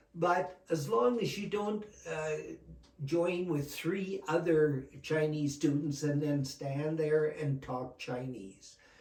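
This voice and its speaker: With a Canadian accent and a fairly high pitch, a man speaks at a very slow pace amid audible room echo. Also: ordinary pitch variation. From Alberta, Canada. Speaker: retired educator. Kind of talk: interview.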